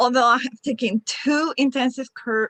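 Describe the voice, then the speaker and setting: Speaking at a fairly slow pace, a woman with a Spanish accent has a bright, sharp tone in a dry, close sound with no echo. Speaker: club member. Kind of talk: meeting feedback. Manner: halting.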